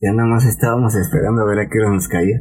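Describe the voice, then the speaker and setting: With music in the background, a man with a fairly low pitch speaks at a fairly quick pace. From Mexico, Veracruz port. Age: 40s. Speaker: security guard and former migrant. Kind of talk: personal testimony in interview.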